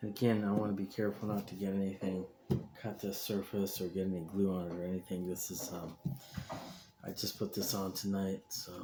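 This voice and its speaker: Quiet and dark, mellow in tone, a man with a fairly low pitch speaks at a fairly quick pace in a monotone, flat intonation. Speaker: hobbyist video maker, model rocket builder. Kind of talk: casual tutorial. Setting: home workshop. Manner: quiet to avoid disturbing neighbors.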